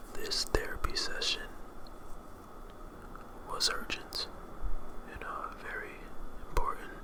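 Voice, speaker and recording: Whispering at a fairly slow pace, a man uses a soothing tone over noticeable background noise. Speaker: ASMR artist. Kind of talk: ASMR therapy roleplay. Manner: slow, soothing, whispery.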